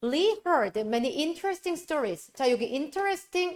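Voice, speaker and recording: A woman's pitch swings very widely. The sound is dry and close with no echo, in a very clean recording with a silent background. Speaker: high school English teacher. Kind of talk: lecture.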